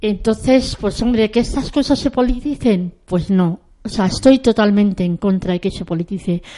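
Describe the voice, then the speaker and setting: Her voice is a woman's, dark and mellow in tone, at a medium pitch. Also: ordinary pitch variation, moderate pace, hardly any pauses. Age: 50s. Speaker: early-retired pensioner. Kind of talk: impassioned commentary.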